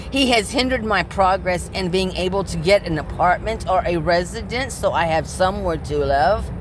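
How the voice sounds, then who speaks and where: A woman talks at a moderate pace with hardly any pauses. Audible room echo and noticeable background noise fill the recording. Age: 60s. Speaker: vlogger living in her car, delivery driver. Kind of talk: personal vlog monologue. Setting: inside her parked car.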